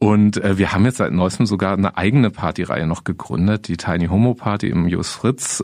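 This man's pitch is very deep and low, with ordinary variation. He speaks at a moderate pace. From Germany, Freiburg (Baden). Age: 50s. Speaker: counselor and former teacher. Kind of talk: interview.

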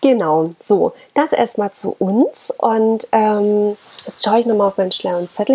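Against noticeable background noise, a woman speaks at a moderate pace in a fairly high pitch with ordinary pitch variation. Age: 30s. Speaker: dog-owner podcaster. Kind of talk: casual monologue. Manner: hesitant, many filler sounds.

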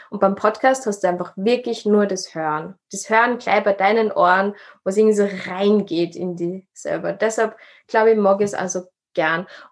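An unremarkable speaking voice from a woman, medium in pitch, at a moderate pace with fairly even intonation against a quiet background. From Upper Austria. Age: 20s. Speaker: social worker and podcaster. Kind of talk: interview.

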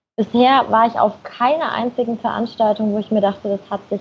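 The woman's fairly high, slightly breathy voice moves at a moderate tempo, its intonation staying fairly level. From Germany, Nuremberg (Franconia). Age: 20s. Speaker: blogger and marketing manager. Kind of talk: podcast interview.

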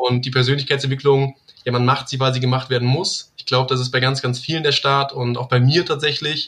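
Speaking fairly quickly, a man keeps a flat, monotone delivery at a medium pitch. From Rhineland, near Cologne, Germany. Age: 20s. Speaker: network marketing team leader. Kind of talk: interview.

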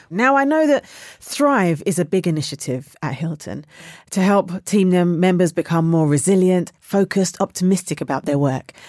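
A woman with a fairly low pitch speaks at a moderate pace in an ordinary speaking voice, with lively intonation. The recording is very clean, with a silent background. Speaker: podcast host. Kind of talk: interview.

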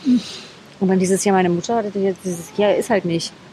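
This woman's medium-pitched voice, with ordinary pitch variation, goes very quickly against noticeable background noise. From East Germany (Berlin, Leipzig, Erfurt). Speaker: wedding speaker. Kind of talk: casual interview. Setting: outdoors at a city square. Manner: animated, many fillers.

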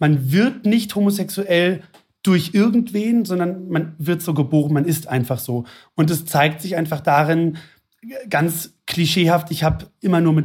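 A high-pitched man's voice in a very clean recording with a silent background. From Hesse, near Frankfurt am Main. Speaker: flight attendant, actor and blogger. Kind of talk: interview conversation.

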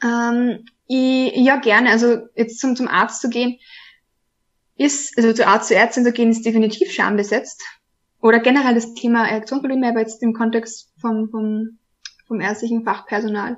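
A woman speaks with an Austrian accent at a moderate pace. Her pitch is fairly high, and her intonation stays fairly even. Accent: Austrian, noticeable. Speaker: trainee sex counselor. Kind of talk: casual interview. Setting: video podcast.

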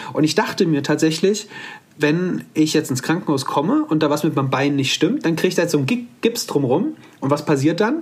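A man's fairly high-pitched voice at a fairly quick pace, with ordinary pitch variation, very even loudness and an ordinary speaking voice. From Hesse, Offenbach area near Frankfurt. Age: 30s. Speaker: bone cancer survivor, one-legged mountaineer. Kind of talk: interview, personal story. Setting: video call from home.

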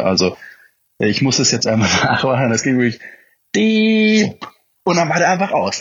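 A man speaks at a moderate pace with lively intonation in an ordinary speaking voice. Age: 20s. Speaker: motorcycle hobbyist. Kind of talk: casual chat.

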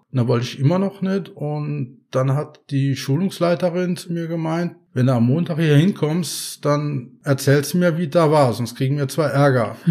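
A man talks at a moderate pace in a dark, mellow tone with ordinary pitch variation and hardly any pauses, on a very clean recording with a silent background. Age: 50s. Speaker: patient advocate, head of an epilepsy self-help association. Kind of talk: casual interview. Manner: hesitant, with many filler sounds.

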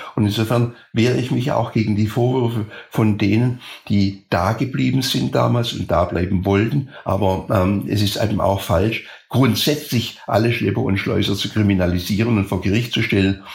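Somewhat breathy, a man's fairly low voice moves with ordinary pitch variation. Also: moderate pace. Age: 80s+. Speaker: former escape helper. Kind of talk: interview.

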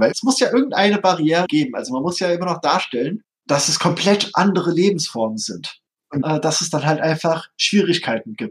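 Keeping a moderate speed, a man speaks with a fairly high pitch. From Hesse, Germany. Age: 30s. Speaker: tabletop game designer. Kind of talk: interview.

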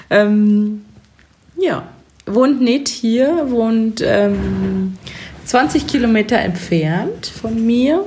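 Over noticeable background noise, a woman talks with lively intonation in a fairly high pitch. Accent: slight Bavarian. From Chiemgau, Bavaria. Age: 20s. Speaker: podcast co-host, cosmetician and make-up artist. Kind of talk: casual chat. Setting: sitting on her cosmetics treatment bed, drinking sparkling wine.

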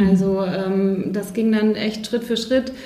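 Over noticeable background noise and audible room echo, a woman talks at a fairly slow pace with fairly even intonation. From Bavaria, Neuburg an der Donau. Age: 30s. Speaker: life coach. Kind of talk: podcast interview.

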